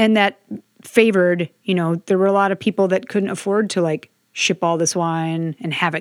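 A woman's medium-pitched, a plain, everyday voice with fairly even intonation at a moderate pace, dry and close with no echo, on a very clean recording with a silent background. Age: 20s. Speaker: sommelier, podcast co-host. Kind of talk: casual chat.

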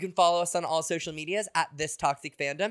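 This man has a normal speaking voice, fairly high in pitch, talking at a fairly quick pace with fairly even intonation on a very clean recording with a silent background. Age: 30s. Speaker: podcast co-host. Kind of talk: casual chat.

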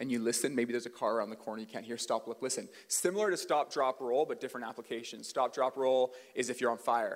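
A man with a Western Canadian accent talks at a very fast pace, barely pausing. His pitch sits in the middle range and varies in an ordinary way. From Canada, British Columbia (Port Coquitlam). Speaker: pastor. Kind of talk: sermon. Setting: church stage with audience. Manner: casual, conversational.

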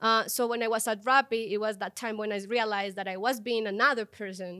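A woman speaks with a Spanish accent at a fairly high pitch, with a bright, sharp tone and fairly even intonation. Her pace is fairly quick, and the recording is very clean with a silent background. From Colombia. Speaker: tech product leader. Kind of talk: interview.

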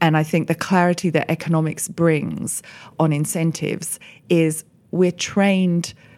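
Speaking at a moderate pace, a woman with an Australian accent has a fairly low voice. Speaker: economist, managing partner. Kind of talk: roundtable discussion. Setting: office recording, around a table.

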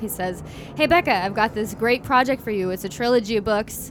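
A woman's fairly high voice with lively intonation, set over music in the background. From Kentucky. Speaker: audiobook narrator. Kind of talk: casual chat.

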